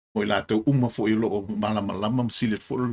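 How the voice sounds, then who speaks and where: The man has a fairly low pitch and fairly even intonation. He moves at a fairly quick pace. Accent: Samoan. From Samoa. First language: Samoan. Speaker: military veteran commentator. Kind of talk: video commentary. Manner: halting.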